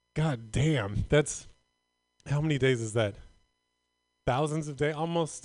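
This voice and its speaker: Over music in the background, a man with an American accent speaks at a moderate pace, his fairly high pitch showing ordinary variation. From Northern California. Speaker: comedian. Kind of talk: stand-up. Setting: stage with audience.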